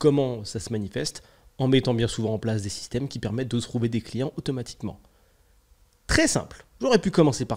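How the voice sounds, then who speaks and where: A man talks at a fairly quick pace with medium pitch and ordinary pitch variation. His loudness shifts a great deal. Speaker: podcast host, entrepreneur and business consultant. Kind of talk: solo podcast monologue. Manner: casual, hesitant with many fillers.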